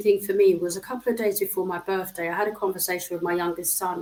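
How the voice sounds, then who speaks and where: Her voice is a plain, everyday voice, a woman at a medium pitch with fairly even intonation. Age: 60s. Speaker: social care professional. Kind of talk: interview.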